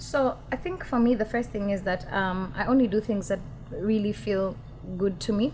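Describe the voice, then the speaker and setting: A woman talks at a moderate pace in a medium-pitched voice. Her delivery is somewhat breathy, with ordinary pitch variation. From Kenya. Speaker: musician. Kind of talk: interview. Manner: hesitant fillers.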